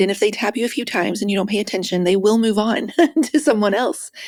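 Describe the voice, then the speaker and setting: On a very clean recording with a silent background, a soft-spoken woman talks at a medium pitch. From West Virginia. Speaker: author and speaker. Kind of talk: interview.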